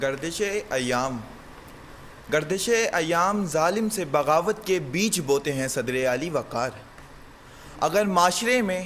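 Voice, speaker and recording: High-pitched male voice with lively intonation over noticeable background noise. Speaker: university debater. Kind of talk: humorous declamation, speech delivered in a debate. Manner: passionate, forceful, rhetorical.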